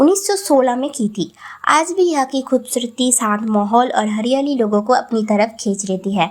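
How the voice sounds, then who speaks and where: Over a very clean recording with a silent background, a woman with a Bengali accent speaks at a high pitch with lively intonation. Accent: Bengali-accented Hindi. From Bengal, India. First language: Bengali (speaking Hindi). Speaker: travel vlogger. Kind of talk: vlog narration.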